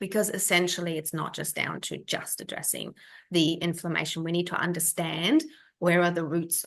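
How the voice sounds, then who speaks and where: A woman speaks at a fairly low pitch with a slight German accent. Her pace is fairly quick, and vocal fry runs through it. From Germany. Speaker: functional health practitioner. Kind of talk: webinar masterclass. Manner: casual, with many fillers.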